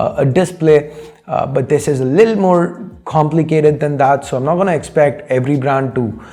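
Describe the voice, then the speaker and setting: Over noticeable background noise, the speaker moves at a fairly quick pace with ordinary pitch variation. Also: man. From India. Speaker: tech YouTuber answering viewer questions. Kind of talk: casual Q&A talk show. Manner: conversational with frequent fillers.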